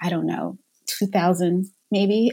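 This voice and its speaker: A dark, mellow tone in an American accent at a moderate pace. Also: woman. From Philadelphia, US. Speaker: author and journalist. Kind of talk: casual interview chat. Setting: remote recording from home office.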